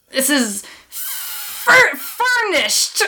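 Someone puts on a character voice with an extremely high pitch. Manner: playful, stumbling over the word.

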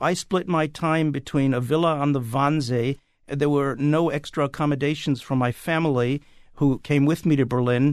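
A plain, everyday voice at a moderate pace, with fairly even intonation, very even loudness and a quiet background. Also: man, fairly high pitch for a man. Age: 60s. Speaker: playwright. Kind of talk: casual chat.

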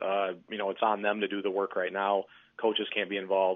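Speaking at a fairly quick pace, a man with a Midwestern American accent uses a fairly low pitch. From Michigan (Muskegon). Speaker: sports recruiting writer. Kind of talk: casual chat. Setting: phone call.

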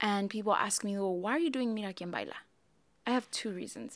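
With an American accent, a woman speaks in a normal speaking voice at a fairly high pitch, with ordinary pitch variation. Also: very clean recording, silent background. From US, Mexican American. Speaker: podcast host, ministry leader. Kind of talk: casual chat about faith.

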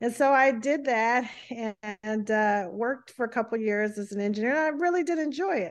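Speaking in an ordinary speaking voice with an American accent, a woman with a fairly high pitch talks at a fairly quick pace with lively intonation against a quiet background. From US South. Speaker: physician and author. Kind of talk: interview.

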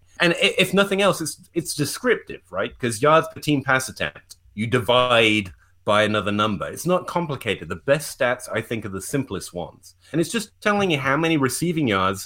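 A man with an English accent speaks at a fairly high pitch, with very wide pitch swings. His tone is bright and sharp, with vocal fry. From England. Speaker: fantasy football analytics writer. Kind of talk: casual podcast discussion of football analytics.

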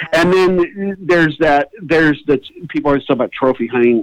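A man with an American accent talks at a moderate pace. The sound is dry and close, with no echo. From Iowa, US Midwest. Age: 50s. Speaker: hunting and fishing comedian. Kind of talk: casual interview chat with storytelling.

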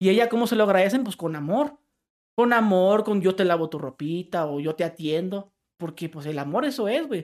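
Here a man talks at a moderate pace. His voice is high-pitched, with lively intonation. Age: 30s. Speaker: prank YouTuber. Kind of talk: casual chat. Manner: animated.

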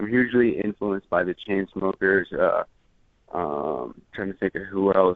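At a moderate pace, a man talks at a fairly low pitch with ordinary pitch variation. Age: 20s. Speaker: music producer. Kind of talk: interview. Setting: phone call. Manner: halting.

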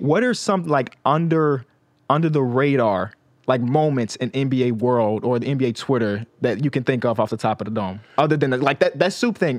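A man with a normal speaking voice talks at a moderate pace in a medium pitch with ordinary pitch variation. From Chicago. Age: 20s. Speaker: podcast host. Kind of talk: casual interview.

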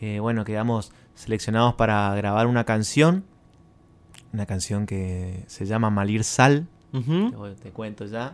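In an ordinary speaking voice, a man talks at a fairly slow pace and fairly low pitch. His pitch varies in an ordinary way, while his loudness swings a lot. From Argentina, Resistencia, Chaco. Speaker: singer-songwriter. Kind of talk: radio interview. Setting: studio.

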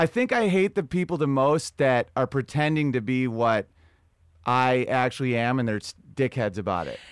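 Recorded very cleanly against a silent background with a dry, close sound and no echo, a man with an American accent uses an unremarkable speaking voice at medium pitch, lively intonation and a moderate pace. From US Northeast. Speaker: comedian. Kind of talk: casual chat.

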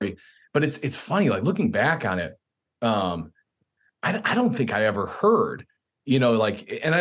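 This is a man speaking. He has an American accent. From Chicago suburbs, US Midwest. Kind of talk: interview.

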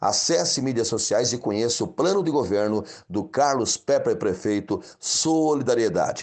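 At a moderate pace and with hardly any pauses, a man speaks in an ordinary speaking voice at a medium pitch. His intonation is lively and his loudness very even. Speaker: mayoral candidate, community leader. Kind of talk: campaign speech.

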